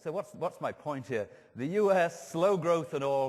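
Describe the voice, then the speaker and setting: A man in an English accent with lively intonation. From England. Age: 60s. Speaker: professor of food marketing. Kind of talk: conference talk. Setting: stage with audience. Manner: animated.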